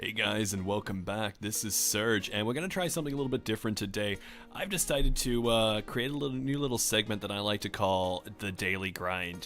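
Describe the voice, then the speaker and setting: Music plays behind a man with an American accent who talks at a fairly quick pace in a fairly low pitch with ordinary pitch variation. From Australia. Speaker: gaming video creator. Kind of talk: casual gameplay commentary.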